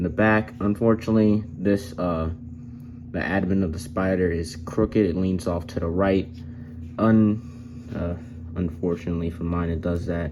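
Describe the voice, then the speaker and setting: With a very deep, low voice, a man speaks at a moderate pace. His intonation is fairly even, broken by long, frequent pauses. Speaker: toy reviewer. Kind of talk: product review. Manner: hesitant fillers.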